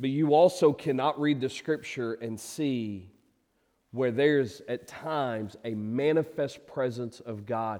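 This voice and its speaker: Speaking at a fairly slow pace, a man has a dark, mellow, warm tone and ordinary pitch variation. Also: quiet background. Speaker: pastor. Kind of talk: sermon; fervent prayer, earnest and heartfelt, with a soft guitar strum behind it. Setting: church. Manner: warm, welcoming, conversational.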